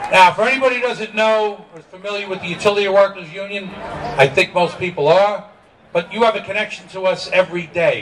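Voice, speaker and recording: In a New York accent, a man talks at a fairly quick pace with a high pitch and ordinary variation. Noticeable background noise is present. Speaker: union leader. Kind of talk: rally speech. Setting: outdoor rally with crowd. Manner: extemporaneous, unscripted; animated.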